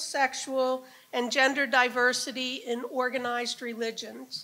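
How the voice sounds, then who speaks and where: A woman with a high pitch and a raised, projected voice speaks at a fairly slow pace with fairly even intonation. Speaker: professor and event organizer. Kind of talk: event welcome speech. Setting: stage with audience. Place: hall. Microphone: podium.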